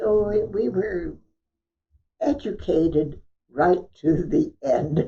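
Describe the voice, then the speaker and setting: Very slowly and somewhat breathily, a woman with an American accent speaks in a dark, mellow tone with very wide pitch swings. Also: medium pitch for a woman. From California. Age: 80s+. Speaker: church member, honorary stewardship chair. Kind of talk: interview. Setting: at home.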